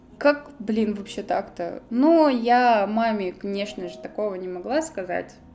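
Against noticeable background noise, a woman speaks very slowly with hardly any pauses. Her fairly high voice has lively intonation and big swings in loudness. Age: 20s. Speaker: podcaster. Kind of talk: personal storytelling monologue. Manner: chatty, casual.

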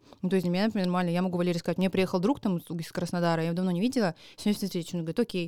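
Talking at a very fast pace, a woman uses a medium pitch and a dark, mellow tone. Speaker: comedian. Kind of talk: casual chat. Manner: animated.

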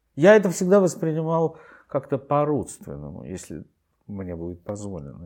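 At a moderate pace, the speech comes in a dark, mellow tone. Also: man. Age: old. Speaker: theatre director. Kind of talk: interview, reminiscing. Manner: halting.

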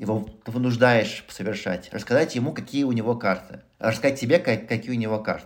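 A man with a medium-pitched voice speaks at a moderate pace with fairly even intonation. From Moscow, Russia. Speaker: entrepreneur, former tech executive. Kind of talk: interview conversation. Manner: hesitant, many filler sounds.

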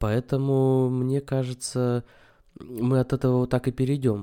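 The recording is very clean, with a silent background. A man speaks at a moderate pace and medium pitch in a dark, mellow tone. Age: 30s. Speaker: podcast host. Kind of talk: solo monologue on philosophy. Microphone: new microphone.

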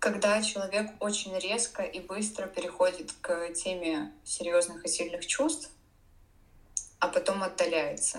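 A woman speaks at a fairly slow pace while noticeable background noise fills the clip. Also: medium pitch for a woman, ordinary pitch variation. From Russia, Saint Petersburg. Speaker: domestic violence survivor and blogger. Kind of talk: interview testimony.

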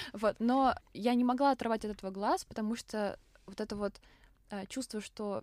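A woman speaks in a plain, everyday voice, fairly high in pitch with ordinary pitch variation. The sound is dry and close, with no echo. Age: young. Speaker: podcast host, journalism student. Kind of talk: casual chat.

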